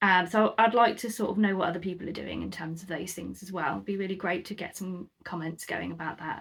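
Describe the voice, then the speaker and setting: Talking at a fairly quick pace with hardly any pauses, a woman shows vocal fry at a fairly low pitch with ordinary pitch variation. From UK, moved around (Scotland, South Coast). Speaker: crafter and YouTuber. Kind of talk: casual chat to camera. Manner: hesitant, many ums.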